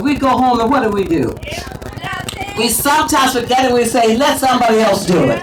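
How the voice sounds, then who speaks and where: Speaking at a moderate pace in an animated tone, a woman with a high pitch and ordinary pitch variation is heard through noticeable background noise and audible room echo. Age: 70s. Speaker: activist speaker at a rally. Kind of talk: rally speech. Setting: outdoor rally with crowd.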